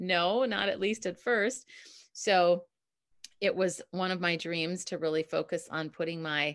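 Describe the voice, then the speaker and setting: A woman with an American accent has a normal speaking voice, pitched fairly low with ordinary pitch variation. The background is quiet. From US Midwest, Minneapolis. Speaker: communication coach. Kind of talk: casual interview chat. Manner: laughs often.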